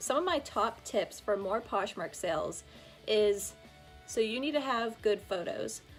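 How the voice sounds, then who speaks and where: Music plays in the background as the speaker talks with lively intonation. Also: woman, fairly high pitch for a woman. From Pittsburgh. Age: 20s. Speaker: fashion reseller. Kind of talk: casual talk to camera.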